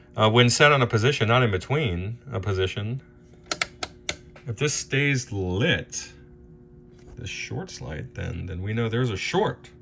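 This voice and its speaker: A man speaks at medium pitch and a fairly slow pace, with long, frequent pauses. His loudness swings widely over noticeable background noise. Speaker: amp repair technician. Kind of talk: tutorial. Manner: halting.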